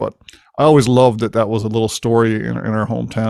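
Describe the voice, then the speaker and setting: In a Newfoundland accent, a man talks at a fairly quick pace with fairly even intonation, on a very clean recording with a silent background and a dry, close sound with no echo. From Newfoundland, Winterton. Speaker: podcast host. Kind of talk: casual chat. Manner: fast.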